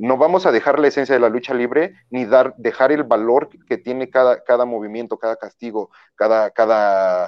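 This man speaks at a medium pitch with a Mexican accent. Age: 30s. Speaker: professional wrestler. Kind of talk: interview.

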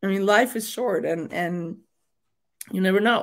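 Speaking at a moderate pace and medium pitch, a woman with a Mexican accent comes through in a very clean recording with a silent background. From Mexico. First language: Spanish. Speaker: state senator. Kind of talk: interview.

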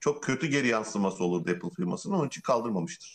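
A man is speaking. His pitch swings very widely. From Turkey. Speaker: tech podcast co-host. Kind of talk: casual chat.

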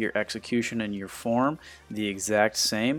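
Speaking with an American accent, a man uses a medium pitch, fairly even intonation and a moderate pace. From US Midwest, Ohio. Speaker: fitness coach. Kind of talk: podcast monologue.

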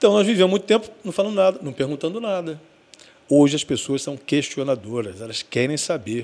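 This man's pitch sits fairly high and swings very widely. He talks at a fairly quick pace. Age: 50s. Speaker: radio broadcaster and station owner. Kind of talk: casual interview chat.

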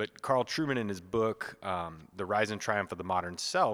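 In a very clean recording with a silent background, a man with an American accent and an unremarkable speaking voice talks at a fairly quick pace, with fairly low pitch and ordinary pitch variation. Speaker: priest and podcast co-host. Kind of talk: casual chat.

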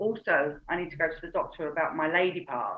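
The speaker is a woman with a British accent. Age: 40s. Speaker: reiki teacher and coach. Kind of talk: casual interview.

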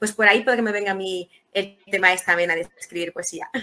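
A woman with a bright, sharp tone speaks at a very fast pace with ordinary pitch variation. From Dominican Republic, Santo Domingo. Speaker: writer and poet. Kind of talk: interview. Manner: halting, many repetitions.

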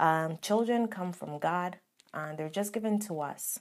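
A woman talks in a normal speaking voice at medium pitch with ordinary pitch variation, captured in a very clean recording against a silent background. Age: 20s. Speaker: podcast host. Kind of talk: casual chat.

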